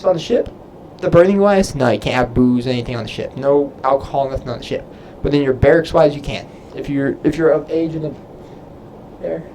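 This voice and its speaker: Fairly high-pitched male speech in an American accent, with ordinary pitch variation, long, frequent pauses and noticeable background noise. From Texas. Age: 20s. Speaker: Navy sailor and YouTuber. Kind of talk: live stream Q&A. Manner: casual, halting.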